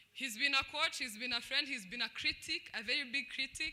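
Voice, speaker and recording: The speaker talks at a moderate pace with a Rwandan accent. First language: Kinyarwanda. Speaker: former student debater. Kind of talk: speech at a celebration. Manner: loud.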